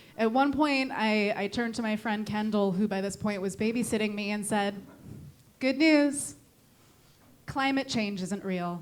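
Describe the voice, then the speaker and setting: In an American accent, a woman speaks at a moderate pace with a fairly high pitch, ordinary pitch variation, and long, frequent pauses, and room echo is audible. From Connecticut, New England. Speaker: stand-up comedian. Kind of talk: stand-up. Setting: comedy club stage with audience. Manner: insincere-sounding, condescending tone; halting with fillers.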